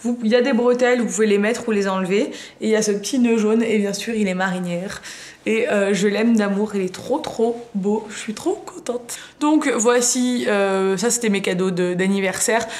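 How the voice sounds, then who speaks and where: Moderate pace with ordinary pitch variation. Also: woman, fairly high pitch for a woman. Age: 20s. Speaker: beauty and fashion youtuber; fashion youtuber. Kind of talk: haul video, casual talk to camera. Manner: casual, chatty with many fillers. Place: home room. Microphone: phone near.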